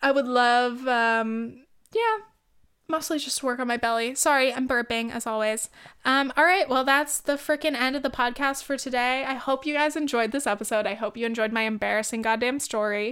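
This woman has a high-pitched voice and an animated tone. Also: moderate pace. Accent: Californian. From US, California (Orange County). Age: 20s. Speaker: podcast host. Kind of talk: casual monologue.

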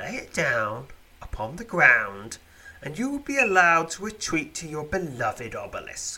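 A man talks at a moderate pace in a high pitch, using a put-on character voice. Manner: calm, soothing.

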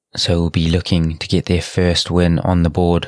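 Here a man with a New Zealand accent speaks at a moderate pace. His pitch is very deep and low. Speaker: rugby podcast host. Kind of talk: solo podcast monologue. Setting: at home late at night. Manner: hesitant, many filler words.

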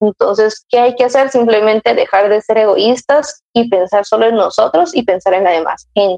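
Music plays behind a woman speaking at a fairly high pitch with ordinary pitch variation. Her loudness stays very even. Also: moderate pace. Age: 30s. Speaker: mother sharing her experience. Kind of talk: casual interview conversation.

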